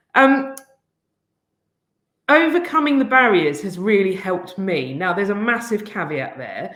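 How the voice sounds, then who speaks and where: Talking in an English accent at a medium pitch, a woman shows very wide pitch swings and big swings in loudness, keeping a moderate pace with long, frequent pauses amid audible room echo. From England. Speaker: head teacher. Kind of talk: conference presentation.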